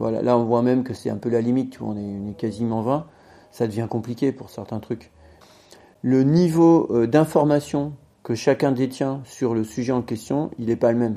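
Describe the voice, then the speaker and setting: A man's dark, mellow voice at medium pitch, with a moderate pace and ordinary pitch variation. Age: 50s. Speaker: bicycle industry product developer. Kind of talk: interview.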